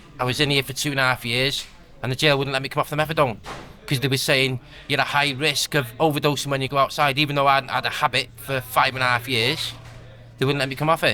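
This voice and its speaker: Music plays in the background as a man talks. His pitch is medium and his intonation monotone and flat. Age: young. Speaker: prisoner in recovery. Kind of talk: casual chat.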